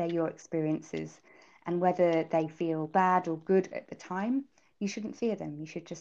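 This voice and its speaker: A woman with a British accent has a dark, mellow tone against a quiet background. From UK. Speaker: startup founder. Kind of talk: interview. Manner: halting, filler-heavy.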